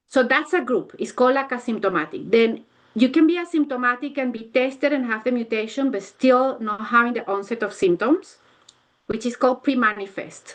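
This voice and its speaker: A woman's high-pitched voice, lively in intonation, at a fairly quick pace. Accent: non-native. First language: not English. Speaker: neuropsychologist. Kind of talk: academic Q&A. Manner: halting. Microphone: connection cutting out.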